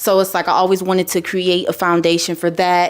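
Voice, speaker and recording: A woman speaks with an American accent at a moderate pace and a medium pitch. It is a plain, everyday voice. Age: 20s. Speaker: musician. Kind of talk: interview. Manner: casual.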